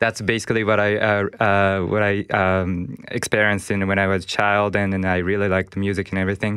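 A man with a Japanese accent speaks at a fairly quick pace and fairly low pitch, with monotone, flat intonation and very even loudness. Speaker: festival organizer. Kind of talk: interview. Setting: studio. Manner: halting.

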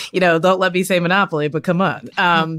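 On a very clean recording with a silent background, a woman with an American accent and a fairly low pitch talks at a moderate pace in an unremarkable speaking voice. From US South. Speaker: comedian and author. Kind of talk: panel discussion.

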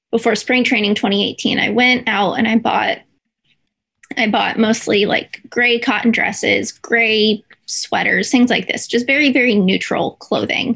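Fairly high in pitch, a woman speaks at a fairly slow pace with a fairly bright tone, fairly even intonation, a slightly husky edge, and vocal fry.

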